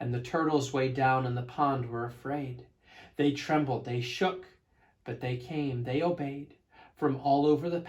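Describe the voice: The clip consists of plain reading aloud.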